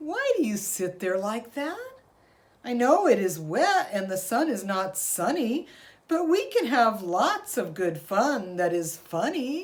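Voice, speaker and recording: A woman puts on a character voice, speaking fairly slowly at a fairly high pitch with very wide pitch swings. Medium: read story. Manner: showy, bouncy.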